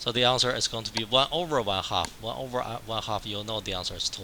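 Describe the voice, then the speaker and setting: A man at a medium pitch talks with ordinary pitch variation and hardly any pauses over noticeable background noise. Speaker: math professor. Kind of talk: lecture. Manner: repetitive, halting.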